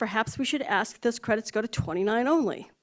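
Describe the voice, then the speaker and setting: The recording is very clean, with a silent background. A woman speaks at fairly high pitch with lively intonation. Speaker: public commenter, local journalist. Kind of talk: public comment at council meeting. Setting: city council meeting. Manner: fast; halting, with restarts.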